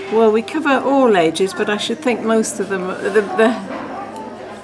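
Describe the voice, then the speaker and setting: Crowd noise and audible room echo surround a woman speaking with lively intonation. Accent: English. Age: 80s+. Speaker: churchgoer, former lay preacher. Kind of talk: interview. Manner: halting.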